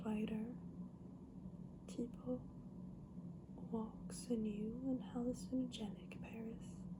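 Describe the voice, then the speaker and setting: Soft-spoken and very slow, the voice leaves long, frequent pauses over noticeable background noise. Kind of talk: ASMR book haul, casual talk to camera.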